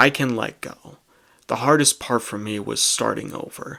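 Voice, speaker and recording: Recorded very cleanly against a silent background, a man with a bright, sharp tone and medium pitch speaks at a very slow pace. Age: 20s. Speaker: vlogger. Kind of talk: personal vlog monologue. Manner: monotone.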